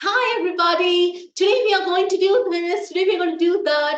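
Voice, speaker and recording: In a put-on character voice, shrill and at extremely high pitch, the speaker moves at a fairly quick pace. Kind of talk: chirpy presenter. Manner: irritating, overly bright.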